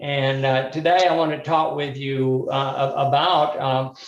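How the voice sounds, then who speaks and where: With a Southern US accent, a man speaks at a fairly slow pace in a fairly high pitch, keeping his intonation fairly even. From US South, Birmingham, Alabama. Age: 60s. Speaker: mental health speaker. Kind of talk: workshop talk. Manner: halting, many fillers.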